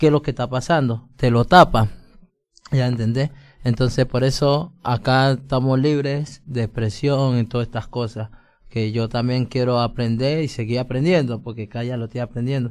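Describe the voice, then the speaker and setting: Using an ordinary speaking voice, the speaker keeps a moderate pace and shows ordinary pitch variation. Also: man. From Colombia. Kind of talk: casual chat.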